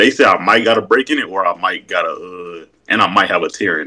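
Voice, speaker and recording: Against a quiet background, a man with an American accent speaks very fast, his loudness swinging widely. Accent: country-sounding speech. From Wisconsin, by way of North Carolina. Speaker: caller on a livestream. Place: home room. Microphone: video call.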